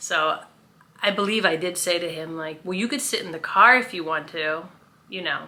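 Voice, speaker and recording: A woman at a medium pitch with ordinary pitch variation, plus noticeable background noise. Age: 50s. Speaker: vlogger. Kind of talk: casual vlog storytelling. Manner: loud; chatty, with fillers.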